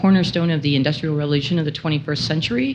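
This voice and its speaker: With a Canadian accent, a woman speaks in a very deep, low pitch with ordinary pitch variation. Audible room echo surrounds her voice. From Ontario, York Region north of Toronto. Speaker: telecom executive, conference speaker. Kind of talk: conference presentation. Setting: stage with audience, microphone. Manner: loud.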